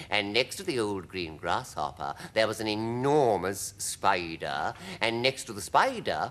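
The speaker is reading aloud in a natural voice. The intonation is lively.

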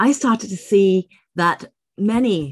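Against a quiet background, a woman with a Singaporean accent speaks with lively intonation. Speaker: English teacher and ELT writer. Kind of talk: speaker introduction. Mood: animated, personal storytelling. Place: office.

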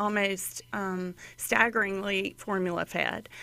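Her intonation is monotone and flat as the woman speaks. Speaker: guest. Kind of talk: interview answer. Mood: concerned, informative. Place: studio. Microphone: studio mic.

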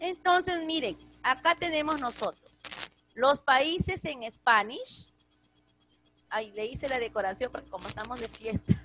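A woman's high, raised, projected voice with a bright, sharp tone and lively intonation, fairly slow with long, frequent pauses and big swings in loudness, the sound dry with no echo over light background noise. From Peru. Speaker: school English teacher. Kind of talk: online class lesson. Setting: video call. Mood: warm, patient. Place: home room. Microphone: video call.

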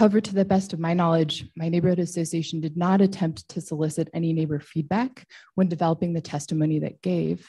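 A woman speaks very fast in a fairly low pitch, somewhat breathy with a dark, mellow tone and fairly even intonation against a quiet background. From Boise, Idaho, US; Idaho. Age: 30s. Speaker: public commenter. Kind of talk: public testimony. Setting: public hearing. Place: hall. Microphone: podium.

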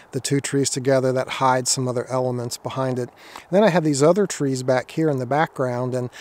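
A man talks at a fairly quick pace with ordinary pitch variation, and the sound is dry with no echo. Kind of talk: tutorial. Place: forest.

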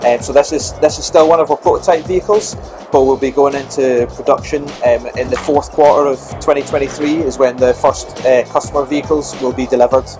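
With clear music in the background, a man talks at a fairly quick pace using fairly even intonation. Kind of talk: interview answer. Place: hall. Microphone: lapel.

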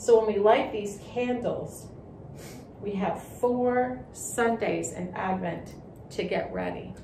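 A woman speaks at a very slow pace in a fairly high voice with ordinary pitch variation, with audible room echo and light background noise. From Canada. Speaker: children's Sunday school storyteller. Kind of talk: children's Bible storytelling. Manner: gentle and slow. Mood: calm, slow, reverent. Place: classroom.

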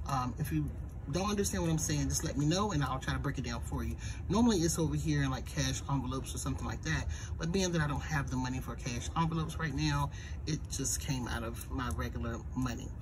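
Delivered at a very fast pace, the speech comes through over noticeable background noise. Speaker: planner creator. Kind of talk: casual budgeting vlog chat. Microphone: phone near.

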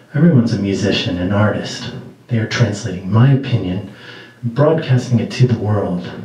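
A man in a dramatic tone at a moderate pace, with audible room echo. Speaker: poet. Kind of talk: poem performance, spoken word. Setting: small venue, live audience. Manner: dramatic, rhythmic delivery. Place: stage.

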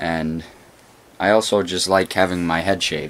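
In a very deep, low pitch, a man speaks with a monotone, flat intonation. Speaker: vlogger. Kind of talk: casual vlog chat. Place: home room. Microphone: phone near.

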